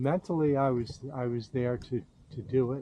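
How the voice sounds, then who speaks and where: Here a man speaks at medium pitch. His tone is dark and mellow. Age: 70s. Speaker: vlogger. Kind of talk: casual monologue. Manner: halting, repeats words.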